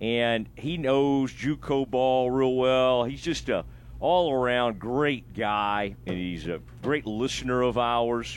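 A man with an unremarkable speaking voice, medium in pitch, with ordinary pitch variation. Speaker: sports radio host. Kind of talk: sports talk radio. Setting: studio.

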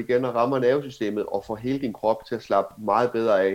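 A man's unremarkable speaking voice at medium pitch with fairly even intonation. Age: 30s. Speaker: cannabis entrepreneur. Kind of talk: interview.

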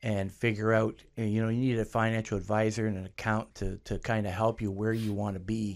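A man with a Canadian accent talks at a fairly quick pace in a fairly low pitch, his intonation monotone and flat, on a very clean recording with a silent background. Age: 60s. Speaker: clothing store owner. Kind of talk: interview.

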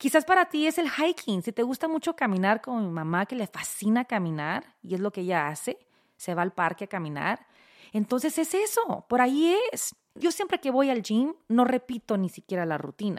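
In a very clean recording with a silent background and a dry, close sound with no echo, a woman with a fairly high pitch speaks at a moderate pace in an animated tone with very wide pitch swings. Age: 40s. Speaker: podcast host. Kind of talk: casual monologue.

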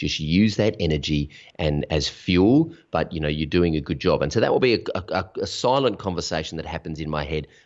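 Here is a man with an Australian accent. His very deep, low voice runs at a fairly quick pace. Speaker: online business coach. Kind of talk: interview. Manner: authoritative.

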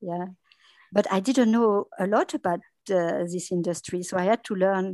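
A woman with a French accent, medium pitch and a dark, mellow tone, at a fairly slow pace over a quiet background. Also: dry, close sound with no echo. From France. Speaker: dubbing studio business development. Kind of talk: interview. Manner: halting.

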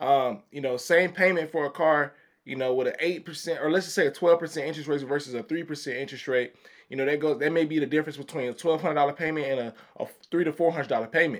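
A man with an American accent, fairly high-pitched and very fast, with fairly even intonation. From Chicago, Illinois. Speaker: credit advisor. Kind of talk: casual chat. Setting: studio.

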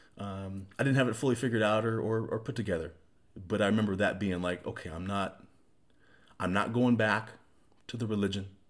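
A man's fairly low voice, fairly even in intonation, broken by long, frequent pauses. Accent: American. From small-town US. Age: 40s. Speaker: podcast co-host. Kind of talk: personal life story in casual chat.

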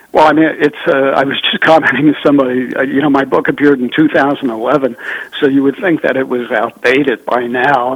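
A man with a fairly high pitch talks at a fairly quick pace. His intonation is fairly even, with noticeable background noise around him. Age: 70s. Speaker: journalist and author. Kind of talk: interview on politics and economy.

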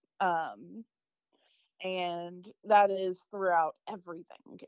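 With an American accent, a woman speaks in an unremarkable speaking voice at a medium pitch, with fairly even intonation. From US South, Arkansas. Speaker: microbiologist. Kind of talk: interview testimony.

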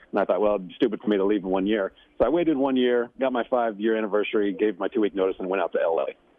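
Over noticeable background noise, a man with a fairly low pitch and ordinary pitch variation speaks very fast with hardly any pauses. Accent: American. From Kansas City area. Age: 50s. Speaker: actor. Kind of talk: casual chat. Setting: phone call from an airport.

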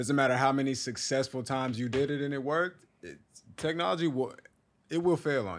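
A man with an American accent and an ordinary speaking voice, medium in pitch, with lively intonation and big swings in loudness. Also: fairly quick pace. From Texas. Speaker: studio and broadcasting worker. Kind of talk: casual chat.

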